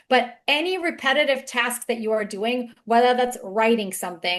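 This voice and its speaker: A woman with a slight non-native accent speaks at a moderate pace. Her pitch is fairly high, with ordinary variation. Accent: slight foreign. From outside the US. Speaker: webinar speaker on AI for business. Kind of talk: webinar panel talk.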